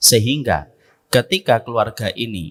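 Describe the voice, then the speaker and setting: With ordinary pitch variation, the voice comes through in a dry, close sound without echo. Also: man. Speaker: Islamic preacher. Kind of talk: religious lecture.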